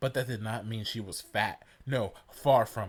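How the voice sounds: The intonation is fairly even in this natural reading voice.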